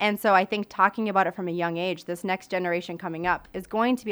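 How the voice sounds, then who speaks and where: A woman with an Upper Midwest accent at a very fast pace, fairly low in pitch, with fairly even intonation, on a very clean recording with a silent background. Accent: Upper Midwest American. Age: 20s. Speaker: teacher and suicide prevention speaker. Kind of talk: interview.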